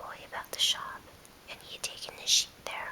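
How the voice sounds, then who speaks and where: Someone whispers. Noticeable background noise runs behind the voice. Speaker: ASMR whisperer. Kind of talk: read story. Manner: whispered.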